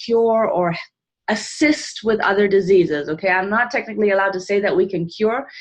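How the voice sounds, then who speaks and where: An ordinary speaking voice moves at a moderate pace with ordinary pitch variation over a quiet background. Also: woman. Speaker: health product presenter. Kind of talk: informal presentation on a live call.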